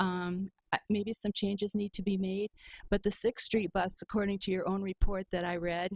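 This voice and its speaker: A woman's medium-pitched voice with an Upper Midwest US accent, monotone and flat, in a dry, close sound with no echo. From Michigan, Muskegon. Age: 70s. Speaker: public commenter. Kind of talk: public comment at meeting. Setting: county board meeting. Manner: hesitant with frequent ums.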